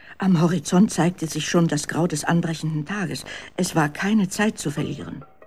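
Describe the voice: The speech moves at a moderate pace with ordinary pitch variation.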